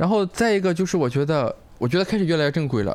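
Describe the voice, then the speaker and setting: In a Shandong accent, a man talks with a high pitch and lively intonation. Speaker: stand-up comedian and comedy writer. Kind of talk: casual chat.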